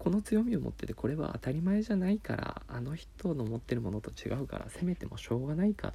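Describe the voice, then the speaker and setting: His pitch leaps across a very wide range. The man's voice has a dark, mellow tone. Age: 30s. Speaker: podcaster. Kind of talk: solo monologue. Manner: halting.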